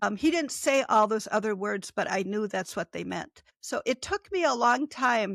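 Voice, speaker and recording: An unremarkable speaking voice moves at a moderate pace in a dry, close sound with no echo, on a very clean recording with a silent background. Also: woman. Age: 60s. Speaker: author and former nurse. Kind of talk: interview conversation.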